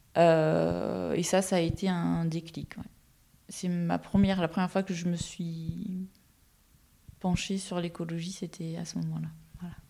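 The voice has a dark, mellow tone and a monotone, flat intonation, moving at a fairly slow pace with long, frequent pauses. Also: woman, fairly low pitch for a woman. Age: 40s. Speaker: environmental inspector and ecologist. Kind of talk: interview.

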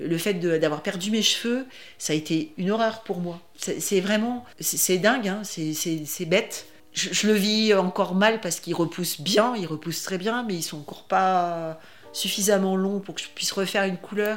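A woman at a medium pitch, speaking at a fairly slow pace with ordinary pitch variation. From France, Grenoble area. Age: 60s. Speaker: breast cancer patient. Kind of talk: testimony. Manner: halting, many repetitions and hesitations.

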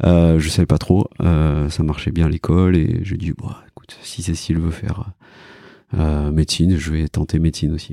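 A man with a very deep, low pitch and a dark, mellow tone speaks at a moderate pace with fairly even intonation and big swings in loudness, in a dry, close sound with no echo. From France, Cantal (Auvergne). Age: 40s. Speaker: emergency and sports doctor. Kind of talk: casual interview conversation. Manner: hesitant, many fillers (euh, bah).

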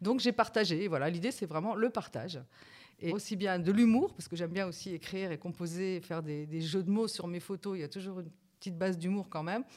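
A woman talks at a very fast pace with medium pitch and ordinary pitch variation. The recording is very clean, with a silent background. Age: 50s. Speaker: senior model and influencer. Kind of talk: casual chat.

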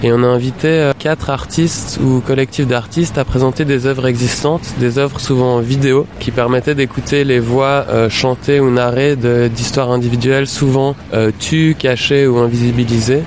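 A man speaks at a medium pitch and a moderate pace, with hardly any pauses. His intonation is flat and monotone, his loudness very even, and background noise is noticeable. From Switzerland. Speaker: art curator. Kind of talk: interview.

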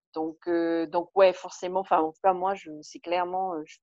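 The woman's pitch is fairly low and her intonation fairly even. She talks at a fairly quick pace, and the sound is dry and close with no echo. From Tahiti, French Polynesia. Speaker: interviewee. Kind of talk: interview testimony. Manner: hesitant, many fillers.

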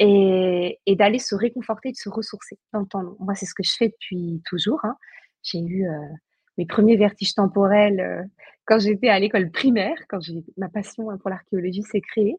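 Dry, close sound with no echo, a somewhat breathy voice, big swings in loudness, fairly even intonation and a moderate pace. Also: woman, medium pitch for a woman. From Brittany, Saint-Nazaire. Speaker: paleoanthropologist and leadership coach. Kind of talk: casual chat. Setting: live video stream.

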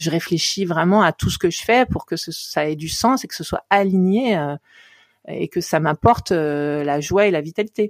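A woman with an unremarkable speaking voice talks at a fairly slow pace and fairly low pitch with ordinary pitch variation, in a dry, close, very clean recording with no echo and a silent background. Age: 50s. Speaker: coach and therapist. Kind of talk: interview conversation.

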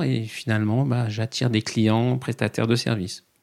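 Medium in pitch, a man's voice proceeds at a moderate pace. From Paris region, France. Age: 40s. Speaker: accountant and coach. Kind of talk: podcast interview. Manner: halting, many fillers.

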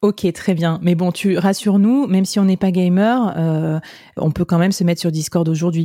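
Speaking at a moderate pace, a woman with a fairly low pitch and a dark, mellow tone keeps her loudness very even and her intonation fairly even, in a dry, close sound with no echo. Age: 30s. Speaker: podcast host and web3 freelancer. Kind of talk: interview.

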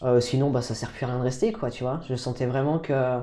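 A man's dark, mellow voice at a medium pitch and moderate pace. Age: 30s. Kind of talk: casual interview. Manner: halting, with repetitions.

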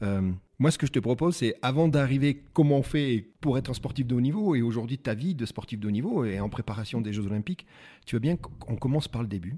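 With a dark, mellow tone and lively intonation, a man talks at a fairly quick pace and medium pitch in a very clean recording against a silent background. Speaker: podcast host. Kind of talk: interview. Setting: tourist office in ski resort. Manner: fast.

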